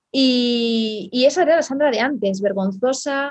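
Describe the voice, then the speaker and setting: A woman speaks at a fairly slow pace in a normal speaking voice. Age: 30s. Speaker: online entrepreneur, team leader. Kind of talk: interview.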